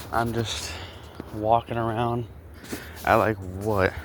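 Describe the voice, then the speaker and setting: A man talks at a very slow pace with noticeable background noise behind him. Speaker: small content creator, vlogger. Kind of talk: casual walking vlog commentary. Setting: outdoors, walking around neighborhood. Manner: rambling, halting with fillers.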